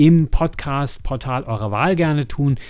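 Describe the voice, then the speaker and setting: A man's dark, mellow voice at a fairly slow pace, with lively intonation. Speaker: podcast host and audio drama producer. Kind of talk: casual solo monologue. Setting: home studio.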